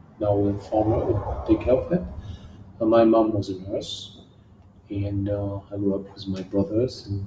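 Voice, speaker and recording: Room echo is audible as a man speaks at a fairly low pitch and a fairly slow pace. His voice is somewhat breathy, with fairly even intonation. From southern France, near Marseille. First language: French. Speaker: kickboxing champion. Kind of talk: interview. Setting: gym.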